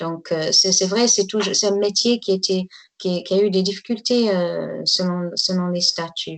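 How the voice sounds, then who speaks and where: A woman talks in a medium pitch, keeping a moderate pace. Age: 60s. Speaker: tour guide. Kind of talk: interview testimony. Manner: halting.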